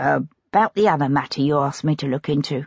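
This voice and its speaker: The speaker puts on a raspy character voice in a low-to-middle pitch. The delivery moves at a fairly quick pace. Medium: read story. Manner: polite, deferential, quietly cheeky.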